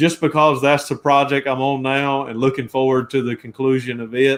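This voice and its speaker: With a Georgia accent, a man speaks in a medium pitch at a moderate pace. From US South, Georgia (Jackson, near Atlanta). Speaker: car restoration YouTuber. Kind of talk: casual interview chat. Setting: live stream.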